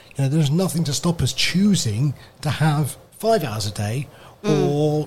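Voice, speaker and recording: At a fairly slow pace, a man with a somewhat breathy, fairly high voice speaks with lively intonation. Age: 50s. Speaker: radio presenter. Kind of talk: casual chat. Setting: radio studio.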